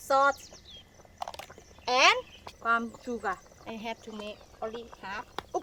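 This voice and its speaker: A woman with a Thai accent talks fairly slowly at a fairly high pitch, with ordinary pitch variation and long, frequent pauses. Her loudness swings widely, and background noise is noticeable. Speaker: cooking show host. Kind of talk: cooking tutorial. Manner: halting.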